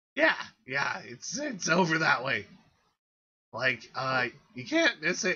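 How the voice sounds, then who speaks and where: A man does a put-on character voice, fairly high in pitch. He goes at a fairly slow pace with long, frequent pauses. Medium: actual play.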